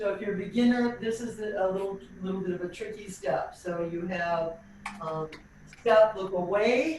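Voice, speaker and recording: Her intonation rises and falls in a lively way. The room adds an audible echo to this woman's voice. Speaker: tap dance teacher. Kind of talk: online dance class instruction. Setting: video call.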